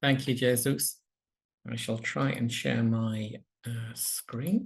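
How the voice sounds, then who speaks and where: Somewhat breathy, a man talks at a very slow pace. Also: medium pitch for a man, ordinary pitch variation. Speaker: palliative medicine professor. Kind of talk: lecture. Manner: slowed down on purpose.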